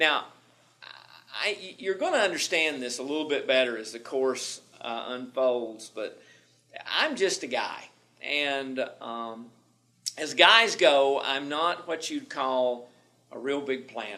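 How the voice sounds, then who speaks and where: A man with a Southern accent speaks at a very slow pace, with long, frequent pauses and a fairly high pitch. His tone is bright and sharp, his loudness swings widely, and audible room echo fills the recording. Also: ordinary pitch variation. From US South, Tennessee. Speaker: management instructor. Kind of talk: lecture. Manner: repetitive stammering.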